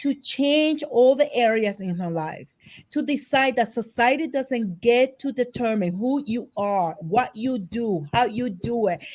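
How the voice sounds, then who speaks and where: A woman's high-pitched, animated voice with lively intonation at a fairly slow pace. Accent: non-native. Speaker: author and psychotherapist. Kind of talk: interview. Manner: bold.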